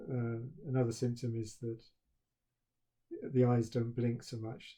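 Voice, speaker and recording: A man speaks in a monotone with flat intonation and a somewhat breathy, dark, mellow tone, at a fairly slow pace and medium pitch, with a British accent. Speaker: university professor. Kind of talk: recorded talk to students. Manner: halting, with stammered repetitions; flat, expressionless.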